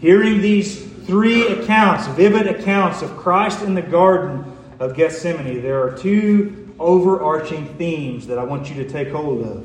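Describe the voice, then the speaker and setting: With lively intonation and a fairly slow pace, a man speaks against noticeable background noise. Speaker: preacher giving a sermon. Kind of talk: formal sermon, scripture exposition. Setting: church service.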